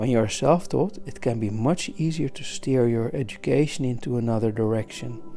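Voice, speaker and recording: With music in the background, a soft-spoken man talks at a medium pitch and a moderate pace. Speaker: art teacher. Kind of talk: soft-spoken talk for listening while drawing. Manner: calm.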